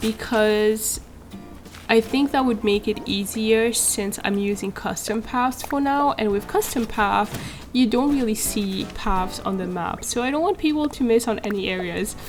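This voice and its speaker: With a non-native accent, a woman speaks at a fairly slow pace in a fairly high pitch with a relaxed, calm tone. Her pitch varies in an ordinary way, and noticeable background noise is present. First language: French (bilingual, two first languages). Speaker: gaming YouTuber. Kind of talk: casual gameplay commentary.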